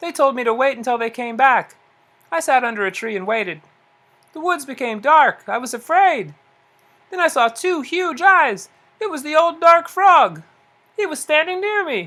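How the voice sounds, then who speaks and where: This is a put-on character voice, high in pitch. It moves at a moderate pace with long, frequent pauses. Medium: read story. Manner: teasing.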